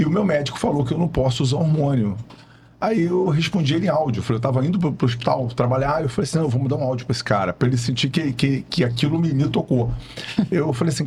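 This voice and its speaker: Over noticeable background noise, the words come out at a very fast pace. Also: man. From Brazil, Rio de Janeiro state. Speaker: physician. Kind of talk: podcast interview. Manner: casual, conversational.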